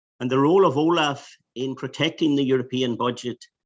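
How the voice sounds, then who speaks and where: Fairly quick speech in a Donegal accent over a quiet background. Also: man. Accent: Donegal Irish. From Ireland, Donegal. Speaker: EU anti-fraud official. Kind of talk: webinar presentation. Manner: halting, many restarts.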